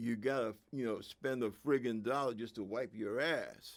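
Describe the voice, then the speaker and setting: This man has a New York accent. He talks at a fairly slow pace. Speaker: political commentator, veteran. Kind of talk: political monologue. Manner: animated.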